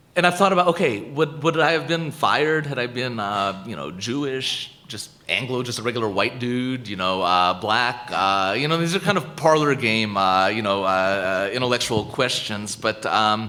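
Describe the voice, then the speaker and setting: A man with an American accent, medium in pitch with very wide pitch swings, at a moderate pace with hardly any pauses, amid noticeable background noise and audible room echo. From United States. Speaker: professor. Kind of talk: lecture Q&A. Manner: halting, many repetitions.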